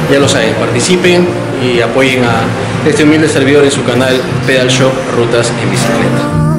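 Music plays in the background as a man delivers his words fairly quickly, his pitch varying in an ordinary way. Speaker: cycling vlogger. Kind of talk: casual vlog chat. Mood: upbeat, optimistic. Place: shop. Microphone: phone near.

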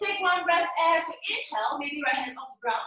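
A woman speaks in a raised, projected voice at an extremely high pitch, her tone bright and sharp. Her intonation is lively, her pace fairly quick, and the room has an audible echo. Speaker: yoga instructor. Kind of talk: guided yoga class instruction. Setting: home studio, live online class on Zoom. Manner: playful, upbeat, bursts of laughter. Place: home room. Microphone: webcam.

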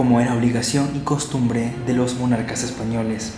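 The speech moves at a moderate pace. Light background noise and audible room echo are present. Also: man. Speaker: radio announcer. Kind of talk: radio documentary narration. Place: studio.

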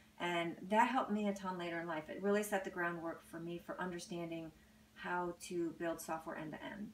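A woman with a fairly low pitch talks at a fairly quick pace with fairly even intonation. Audible room echo and light background noise are present. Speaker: technology company founder and president. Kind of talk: interview. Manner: soft-spoken. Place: home room. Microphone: camera far.

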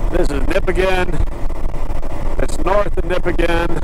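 A man at a moderate pace with fairly even intonation, a dry sound with no echo, and noticeable background noise. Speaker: motorcycle vlogger. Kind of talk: casual vlog chat. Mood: relaxed, slightly grumbling. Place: motorbike.

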